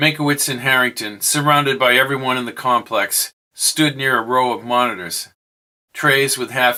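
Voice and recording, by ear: The intonation stays fairly even as someone reads aloud in a natural voice. Behind it, the background is quiet.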